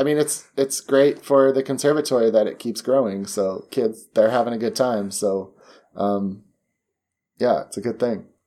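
A man with a normal speaking voice at a moderate pace, ordinary pitch variation, on a very clean recording with a silent background. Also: medium pitch for a man. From US, moved often (Arizona, LA, Indiana). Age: 30s. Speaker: dance teacher and choreographer. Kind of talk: casual chat.

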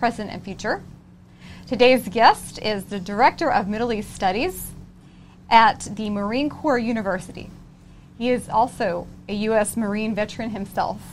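Pitch moves in an ordinary way while loudness swings widely. The pace is moderate, broken by long, frequent pauses. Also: woman, fairly high pitch for a woman. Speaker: co-host. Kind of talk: interview.

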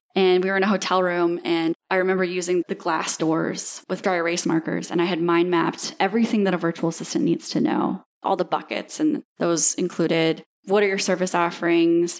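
With an American accent, a woman speaks at a fairly quick pace and fairly low pitch, with very even loudness and hardly any pauses. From Iowa, US Midwest (Dubuque). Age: 30s. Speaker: virtual assistant agency founder. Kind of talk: interview.

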